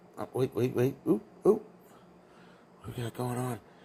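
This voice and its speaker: At a fairly slow pace, a man speaks at a medium pitch with a dark, mellow tone that is somewhat breathy. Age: 60s. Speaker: vlogger filming neighbors. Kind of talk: casual running commentary. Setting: indoors at apartment door. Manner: sarcastic, mocking.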